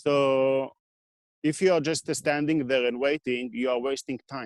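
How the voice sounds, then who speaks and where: With a non-native accent, a man speaks at a fairly slow pace and fairly even intonation, the sound dry and close with no echo. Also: fairly high pitch for a man. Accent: foreign. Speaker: equipment repair business owner. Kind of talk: interview. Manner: halting.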